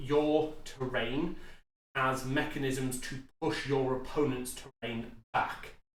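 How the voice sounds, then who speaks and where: Fairly slow male speech at medium pitch, with audible room echo. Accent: British. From UK. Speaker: tabletop gaming youtuber. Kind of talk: tutorial. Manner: casual with frequent fillers.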